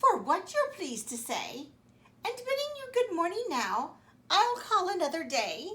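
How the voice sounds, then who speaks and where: Using a put-on character voice, a woman projects loudly at an extremely high pitch, with very wide pitch swings and a moderate pace. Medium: read story. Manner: polite, hesitant.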